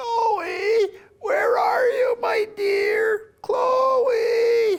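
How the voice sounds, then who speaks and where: Someone shouts in a put-on character voice at an extremely high pitch. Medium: stage play. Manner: mishears, frets.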